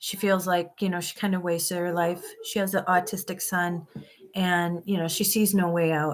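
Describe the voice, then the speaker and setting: Speaking at a moderate pace, a woman with an American accent uses a medium pitch. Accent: Minnesota accent, noticed by viewers. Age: 50s. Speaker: van life vlogger. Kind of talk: live stream chat with viewers. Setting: live stream.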